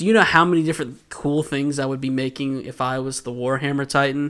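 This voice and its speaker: The recording is very clean with a silent background. A man with an American accent speaks in a bright, sharp tone. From US South, Georgia. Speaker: podcast host. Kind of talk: casual chat. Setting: studio.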